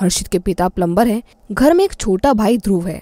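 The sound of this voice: A woman at medium pitch and a fairly quick pace, with lively intonation and a dark, mellow tone, in a dry, close sound with no echo.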